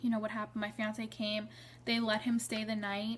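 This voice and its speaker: A woman talks with a somewhat breathy voice pitched fairly high. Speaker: vlogger sharing pregnancy story. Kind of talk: personal storytelling vlog.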